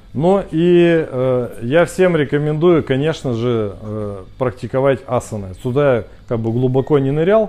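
In a normal speaking voice, a man talks at a fairly slow pace and medium pitch with lively intonation. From Russia, Khabarovsk. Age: 50s. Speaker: speaker club organizer, entrepreneur. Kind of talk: casual talk to a small group. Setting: cafe.

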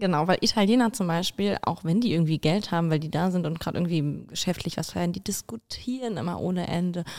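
Speaking very fast, a woman uses a fairly low pitch. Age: 20s. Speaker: university student and stripper. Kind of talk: casual chat.

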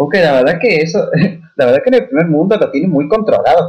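A man with a somewhat breathy voice. His tone is dark and mellow. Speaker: podcast guest. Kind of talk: casual chat.

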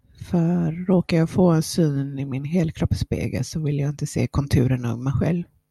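A woman's very deep, low pitch and dark, mellow tone, somewhat breathy, at a moderate pace, with a dry, close sound and no echo. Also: ordinary pitch variation. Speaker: podcast host. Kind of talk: personal monologue. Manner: eating while talking.

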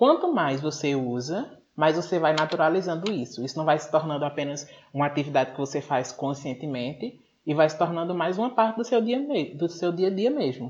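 An unremarkable speaking voice with lively intonation moves at a moderate pace over a quiet background. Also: man, fairly high pitch for a man. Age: 20s. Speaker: English teacher and podcast host. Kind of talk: casual interview chat.

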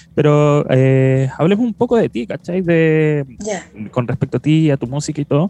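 A man with a Chilean accent, fairly high pitch, lively intonation, a dark, mellow tone and a moderate pace, in a dry, close sound with no echo. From southern rural Chile. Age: 30s. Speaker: podcast host. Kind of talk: casual chat.

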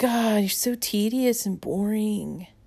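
At a very slow pace, a woman talks at a medium pitch with a dark, mellow tone. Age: 50s. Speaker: podcast host. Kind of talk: reflective spiritual monologue.

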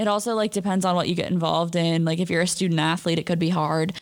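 Very fast speech from a woman at a medium pitch, with an American accent. The recording is very clean and the background silent. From California, San Francisco area. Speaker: college student podcast host. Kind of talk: casual chat.

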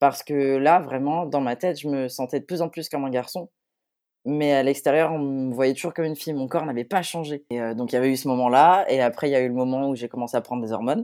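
A man with a dark, mellow tone talks at a very fast pace on a very clean recording with a silent background. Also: fairly high pitch for a man, ordinary pitch variation. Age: 20s. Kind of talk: testimony.

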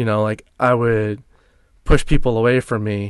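Against a quiet background, a man with an American accent uses a normal speaking voice at medium pitch with fairly even intonation. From US suburbs, same town as co-host. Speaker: former addict sharing recovery story. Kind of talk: personal testimony in casual interview.

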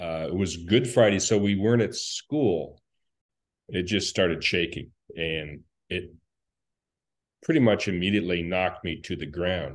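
A man's very deep, low voice at a moderate pace, with ordinary pitch variation and long, frequent pauses over a quiet background. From Alaska, Anchorage. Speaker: earthquake survivor. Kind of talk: casual interview. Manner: halting.

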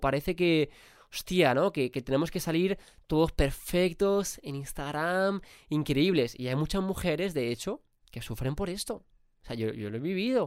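In a very clean recording with a silent background, a man speaks with a clear, smooth tone. His pitch is fairly high and his intonation lively. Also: moderate pace.

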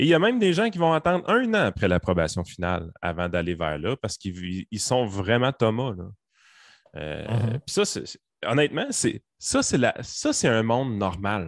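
A man at a medium pitch talks at a moderate pace, his pitch swinging very widely. The sound is dry and close with no echo, against a quiet background. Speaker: podcast host. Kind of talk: casual chat.

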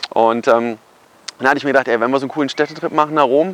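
Recorded dry and close with no echo, a man speaks in a plain, everyday voice, fairly high in pitch, with ordinary pitch variation. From Germany, Kassel area (northern Hesse). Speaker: photographer and marketing YouTuber. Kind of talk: casual personal story vlog. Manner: casual, filler-heavy.

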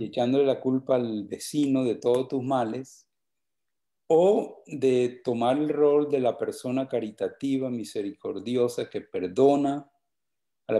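A plain, everyday voice speaks with fairly even intonation. The recording is very clean, with a silent background. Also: man. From Colombia, Valledupar (Cesar). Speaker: vallenato songwriter. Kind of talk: casual chat.

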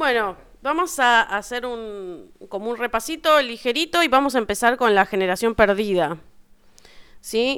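The recording is very clean, with a silent background, as a woman speaks at a fairly slow pace in a normal speaking voice. Her fairly high pitch carries lively intonation. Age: 30s. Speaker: podcast host. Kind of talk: casual chat.

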